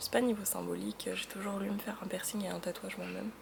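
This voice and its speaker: Soft-spoken, a woman can be heard through noticeable background noise. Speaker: vlogger. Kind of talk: casual vlog monologue. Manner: soft-spoken, low energy; hesitant, many fillers.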